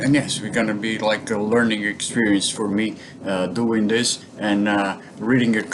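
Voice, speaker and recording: With a Portuguese accent and monotone, flat intonation, a man speaks at a moderate pace against noticeable background noise. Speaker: bonsai hobbyist vlogger. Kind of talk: casual vlog talk. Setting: home kitchen. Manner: halting, many fillers.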